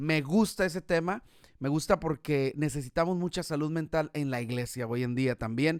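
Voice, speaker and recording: In a very clean recording with a silent background and a dry, close sound with no echo, a man talks at a moderate pace with lively intonation. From Mexico, Guadalajara, Jalisco. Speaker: podcast host. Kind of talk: casual interview chat. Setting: live stream.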